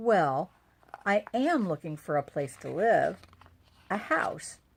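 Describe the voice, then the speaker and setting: In a put-on character voice, a female-sounding speaker goes at a fairly slow pace from a middle pitch with very wide pitch swings. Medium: read story.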